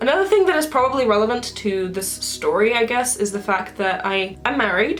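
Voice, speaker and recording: A woman with a British accent at a fairly quick pace, with noticeable background noise. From UK. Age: 20s. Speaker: video blogger. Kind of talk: casual monologue.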